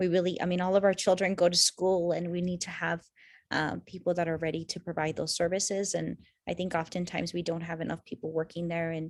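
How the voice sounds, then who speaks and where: A very fast, flat monotone with a Spanish accent. The recording is very clean, with a silent background. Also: woman, fairly low pitch for a woman. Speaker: university program director. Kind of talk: information session Q&A. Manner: halting, many fillers.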